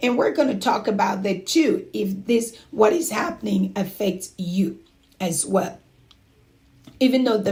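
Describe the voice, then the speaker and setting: Her fairly high voice is somewhat breathy, with lively intonation. The woman talks at a fairly slow pace. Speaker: home care business mentor. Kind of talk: livestream talk with chat questions. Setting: livestream.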